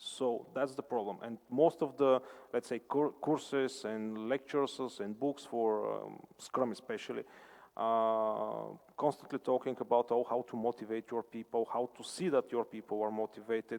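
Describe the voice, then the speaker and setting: At a moderate pace, a man talks with fairly even intonation in a dry, close sound with no echo. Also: medium pitch for a man. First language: non-English. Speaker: conference speaker answering questions. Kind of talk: conference Q&A answer. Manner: halting, many fillers.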